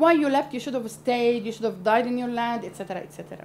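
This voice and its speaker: The speaker has an Arabic accent. Noticeable background noise runs underneath. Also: woman. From Lebanon, Palestinian refugee camp in Beirut. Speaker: NGO founder. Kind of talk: interview. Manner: halting.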